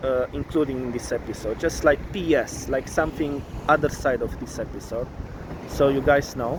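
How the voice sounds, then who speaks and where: A man with a Romanian accent at a fairly slow pace, ordinary pitch variation, and noticeable background noise. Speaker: vlogger. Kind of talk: casual vlog monologue. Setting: studio. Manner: halting, many fillers.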